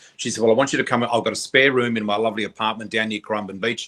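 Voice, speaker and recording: Fairly even in intonation, a man's medium-pitched voice has a bright, sharp tone and an Australian accent. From Australia, New South Wales. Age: 60s. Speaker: psychic. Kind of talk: interview storytelling.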